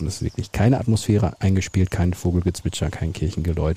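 Over noticeable background noise, a man speaks very fast in a very deep, low voice with ordinary pitch variation. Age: younger than co-host. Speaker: podcast host. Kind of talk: casual chat. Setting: outdoors.

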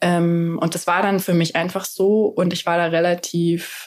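A woman's fairly low-pitched, normal speaking voice, fairly even in intonation, at a moderate pace. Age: 30s. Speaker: van traveller and mother. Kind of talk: casual chat.

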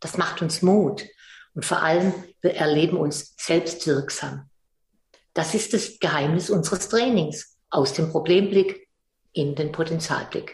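A woman's somewhat breathy, fairly low voice at a very slow pace, with ordinary pitch variation. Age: 70s. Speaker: psychologist and philanthropist. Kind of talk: interview.

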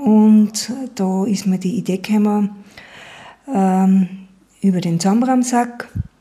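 Somewhat breathy and dark, mellow in tone, a woman of medium pitch talks at a very slow pace with fairly even intonation and long, frequent pauses. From Upper Austria, Schärding. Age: 50s. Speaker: entrepreneur and environmental volunteer. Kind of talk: interview. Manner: halting.

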